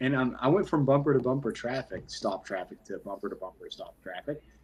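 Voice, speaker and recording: Very fast pace from a man. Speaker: sports podcast host. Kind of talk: casual chat. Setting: live stream. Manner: animated.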